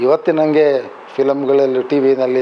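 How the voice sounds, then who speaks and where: A man talks at a fairly high pitch against noticeable background noise. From Karnataka, Tumakuru district. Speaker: retired police officer, childhood friend of an actress. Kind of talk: interview, reminiscing. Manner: halting.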